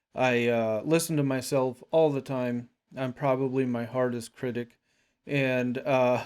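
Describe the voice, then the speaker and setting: The delivery is fairly slow. Its intonation is monotone and flat. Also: man, medium pitch for a man. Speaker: podcaster. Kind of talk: monologue. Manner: slow, long pauses; halting, jumps between ideas.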